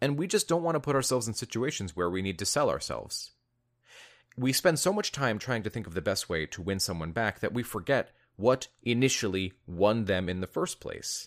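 A man's voice with a warm tone and very wide pitch swings comes through in a very clean recording with a silent background. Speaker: relationship coach and video host. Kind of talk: pep talk. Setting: video channel recording. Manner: warm, encouraging, earnest; direct, conversational, motivational.

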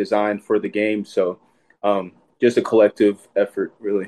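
Over a quiet background, a man with a Texan accent speaks at medium pitch in a dark, mellow tone. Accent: Texan American. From Texas (Sherman, north Texas). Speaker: college football player. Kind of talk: casual interview.

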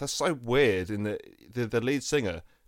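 A man with a plain, everyday voice and medium pitch talks at a fairly quick pace in a very clean recording with a silent background. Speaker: comedian. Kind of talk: casual chat.

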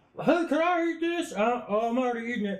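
A man does a put-on character voice, pitched extremely high and delivered at a moderate pace.

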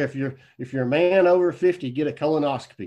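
An ordinary speaking voice with ordinary pitch variation against a quiet background. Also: man. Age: 50s. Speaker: actor and filmmaker. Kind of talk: casual chat.

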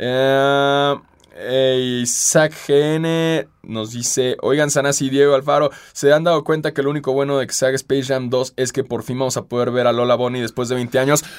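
A man talks with a Mexican accent at medium pitch. His pace is moderate and his intonation is monotone and flat. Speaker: podcast host. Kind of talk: casual chat.

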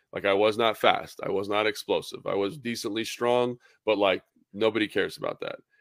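A man's fairly quick speech with an American accent, in a dry, close sound with no echo. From Southern California (San Fernando Valley). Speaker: former NFL tight end, radio analyst. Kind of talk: casual interview.

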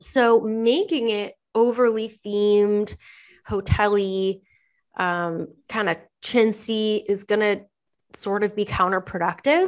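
Against a quiet background, a woman with an American accent speaks at medium pitch. Her pace is very slow. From Southern California (Anaheim). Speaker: interior designer. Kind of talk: casual interview chat.

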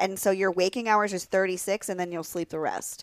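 A woman with an American accent speaks in a plain, everyday voice at a medium pitch with fairly even intonation. The sound is dry and close, with no echo. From Pennsylvania. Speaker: adult performer. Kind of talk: casual chat.

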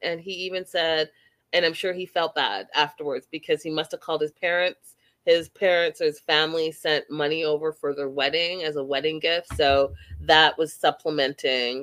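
A woman talks at a moderate pace in a Canadian accent, her pitch very deep and low. The sound is dry and close, with no echo. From Canada. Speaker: reality TV podcast host. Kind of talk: casual chat. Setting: video call. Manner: animated.

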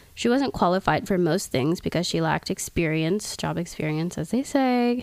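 A woman with an ordinary speaking voice keeps a moderate pace and lively intonation. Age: 20s. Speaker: podcast host. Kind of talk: reading aloud; casual chat.

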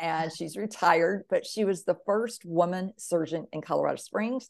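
A woman with an American accent and an ordinary speaking voice, medium in pitch, at a fairly slow pace with hardly any pauses, over a quiet background. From US South, Mississippi. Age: 50s. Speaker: author and veteran. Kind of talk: interview, personal testimony.

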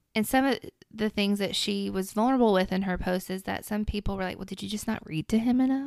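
Speaking very fast in a Tennessee accent, a woman uses ordinary pitch variation. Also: medium pitch for a woman. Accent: Southern US (Tennessee). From Middle Tennessee. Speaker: mother sharing parenting experience. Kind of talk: casual interview chat.

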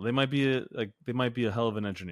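In a very clean recording with a silent background and dry, close sound with no echo, a man speaks at a fairly quick pace. He has an unremarkable speaking voice at a medium pitch. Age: 30s. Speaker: fitness coach and podcast host. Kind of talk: casual chat.

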